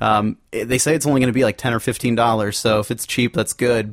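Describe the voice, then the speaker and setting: An ordinary speaking voice moves at a fairly quick pace. Its intonation stays fairly even. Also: man. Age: 20s. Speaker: fill-in co-host and homebrewer. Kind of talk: casual chat.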